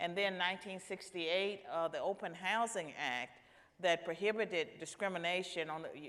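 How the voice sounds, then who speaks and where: This woman has an ordinary speaking voice, fairly low in pitch, with fairly even intonation at a moderate pace. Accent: American. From US South, rural Virginia. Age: 60s. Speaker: panelist, senior policy fellow. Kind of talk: panel discussion.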